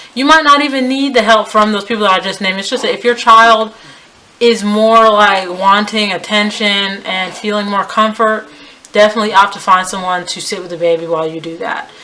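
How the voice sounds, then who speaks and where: An American accent at a fairly quick pace, ordinary pitch variation and big swings in loudness, over noticeable background noise. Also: woman, medium pitch for a woman. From US, West Indian family. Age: 20s. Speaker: lifestyle vlogger. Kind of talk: advice vlog. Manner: casual, conversational.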